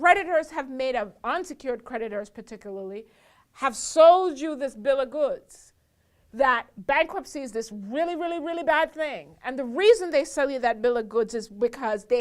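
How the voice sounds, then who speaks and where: A woman with a high pitch talks at a moderate pace in an animated tone, her intonation lively and her loudness swinging widely. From abroad, another country. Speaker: attorney, show host. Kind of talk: talk show monologue.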